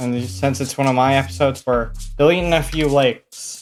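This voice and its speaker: A man talks at a medium pitch and a moderate pace. Music plays in the background. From Canada. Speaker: mapping video creator. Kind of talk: casual map commentary. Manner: casual, conversational.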